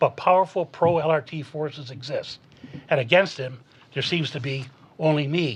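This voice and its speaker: A man talks at a moderate pace with a fairly high pitch and ordinary pitch variation. His voice is somewhat breathy, and he leaves long, frequent pauses. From Canada, Hamilton Ontario. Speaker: municipal election candidate. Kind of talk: prepared opening statement in debate.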